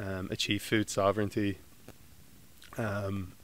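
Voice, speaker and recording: Recorded very cleanly against a silent background, a man with a Dublin accent speaks at a moderate pace in a fairly low pitch. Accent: Dublin Irish. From Ireland, Dublin. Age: 20s. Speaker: graduate student. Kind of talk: interview. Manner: halting, many fillers.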